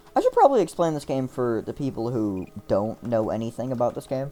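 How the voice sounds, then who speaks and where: The speech has ordinary pitch variation, with music playing in the background. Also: man. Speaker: gaming streamer. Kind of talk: gameplay commentary. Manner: halting, repeats words; casual rambling.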